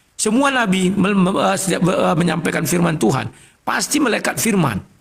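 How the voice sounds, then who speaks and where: A man's high voice at a moderate pace, with lively intonation. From North Sumatra, Indonesia. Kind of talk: religious debate. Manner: loud.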